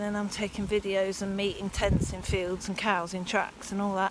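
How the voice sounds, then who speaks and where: A woman with an English accent speaks at a moderate pace over noticeable background noise. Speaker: cycling vlogger. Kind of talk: vlog monologue while riding. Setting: outdoors on a bike.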